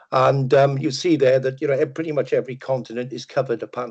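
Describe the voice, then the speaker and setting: In a Welsh accent, a man talks at a medium pitch against a quiet background. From Wales, Merthyr Tydfil. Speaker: data management consultant. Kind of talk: webinar presentation. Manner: hesitant, many fillers.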